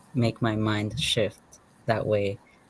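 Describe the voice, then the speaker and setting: With a Spanish accent, a man speaks at a fairly slow pace. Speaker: panelist. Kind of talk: community panel discussion. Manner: halting.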